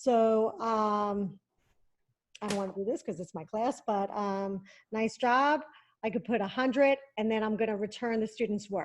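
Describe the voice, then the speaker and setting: A woman at a moderate pace uses a normal speaking voice with fairly high pitch and ordinary pitch variation against a quiet background. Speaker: tech education specialist. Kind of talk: tutorial.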